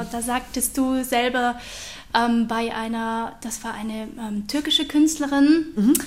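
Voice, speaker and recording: Her voice sits high for a woman, and she talks at a very slow pace with fairly even intonation. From Switzerland, Aargau. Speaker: podcast host. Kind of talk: interview.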